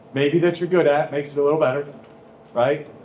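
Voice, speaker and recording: Audible room echo surrounds a man's voice. He speaks at a fairly high pitch with fairly even intonation. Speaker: high school teacher. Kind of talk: classroom talk introducing a guest speaker. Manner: monotone.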